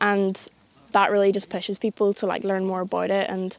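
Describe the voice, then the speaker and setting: On a very clean recording with a silent background, a woman with a Northern Irish accent talks at a fairly quick pace and a medium pitch. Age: young. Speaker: conservation volunteer. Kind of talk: interview.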